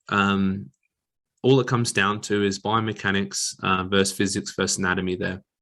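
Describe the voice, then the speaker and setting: At a moderate pace over a quiet background, a man with an Australian accent speaks in a bright, sharp tone at a fairly low pitch. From Western Australia. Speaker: exercise physiologist. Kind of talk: lecture. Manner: mumbling.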